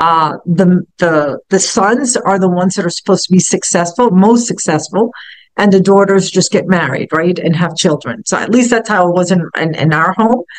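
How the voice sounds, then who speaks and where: The speaker has a New York accent and talks at a moderate pace. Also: woman, medium pitch for a woman, ordinary pitch variation. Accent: New York area. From Hoboken, New Jersey, US. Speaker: business founder and CEO. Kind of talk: casual talk in a virtual meetup. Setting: video call. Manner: halting, many fillers and repeated words.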